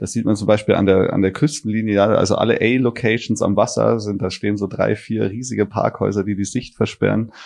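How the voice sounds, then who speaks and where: Speaking at a fairly quick pace, a man uses fairly even intonation with vocal fry. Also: fairly low pitch for a man, hardly any pauses. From Bavaria, southern Germany. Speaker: architect and startup CEO. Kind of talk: interview. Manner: halting, many fillers.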